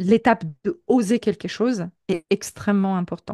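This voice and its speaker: Very slow speech from a woman, medium in pitch with a dark, mellow tone and ordinary pitch variation, in a dry, close sound with no echo and a quiet background. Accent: Polish. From Poland. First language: Polish (speaking French). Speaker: professional coach. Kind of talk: interview. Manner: hesitant, many repetitions.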